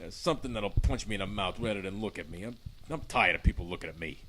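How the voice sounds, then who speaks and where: A man does a put-on character voice, gruff and fairly low in pitch, with lively intonation. He races along at a very fast pace over clear background noise. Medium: audio drama. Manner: gruff, colloquial.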